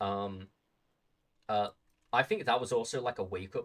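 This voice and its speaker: A man with a fairly low pitch talks at a moderate pace on a very clean recording with a silent background. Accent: British. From Britain. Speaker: livestreamer. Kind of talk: casual chat. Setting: live stream. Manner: halting, many fillers and repeats.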